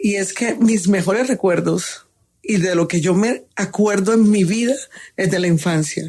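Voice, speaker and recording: A woman's voice has a dark, mellow tone and fairly even intonation. She speaks at a fairly slow pace. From Colombian Caribbean coast (Sincé, Sucre). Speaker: chef. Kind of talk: interview.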